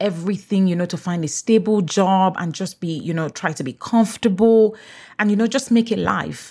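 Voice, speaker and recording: On a very clean recording with a silent background, a woman speaks in a medium pitch that is somewhat breathy, at a moderate pace with ordinary pitch variation. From Nigeria. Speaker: journalist and podcast host. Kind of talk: casual chat.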